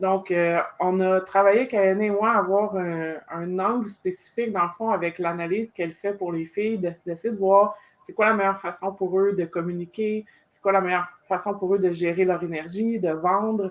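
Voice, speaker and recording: A woman with a Quebec accent speaks at medium pitch with monotone, flat intonation. Her loudness swings widely, and noticeable background noise is present. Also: moderate pace. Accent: Québécois French. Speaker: podcast host. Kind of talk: interview. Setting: live video stream.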